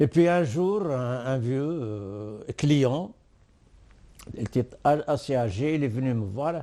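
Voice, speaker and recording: A man with an Arabic accent has a dark, mellow tone at a medium pitch, with ordinary pitch variation. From Algeria, Oued Souf. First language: Arabic (speaking French). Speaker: war veteran. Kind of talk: testimony. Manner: halting.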